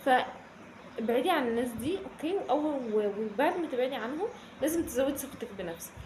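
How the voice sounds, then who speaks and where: Amid noticeable background noise and audible room echo, a woman with a Cairo accent speaks at a moderate pace with lively intonation, a high pitch and hardly any pauses. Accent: Egyptian Arabic (Cairene). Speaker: self-development youtuber. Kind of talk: casual advice vlog. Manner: animated, conversational with frequent fillers.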